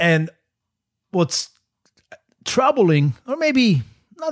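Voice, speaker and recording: A man with a Polish accent speaks with very wide pitch swings. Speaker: podcast co-host. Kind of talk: casual conversation.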